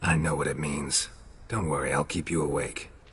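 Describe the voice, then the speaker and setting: A man puts on a raspy character voice at a very deep, low pitch. He keeps a moderate pace. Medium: game stream. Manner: terse, deadpan.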